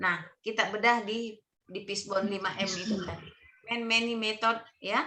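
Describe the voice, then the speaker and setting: Loud and fairly high-pitched, a woman's voice comes through. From Bugis region, South Sulawesi. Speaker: training mentor. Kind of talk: online mentoring session. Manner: loud, may sound stern.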